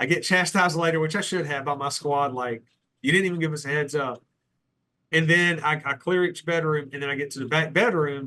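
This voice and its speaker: Bright and sharp in tone, a man's voice sits fairly high. He moves at a fairly quick pace with ordinary pitch variation. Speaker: retired police lieutenant. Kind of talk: casual interview storytelling.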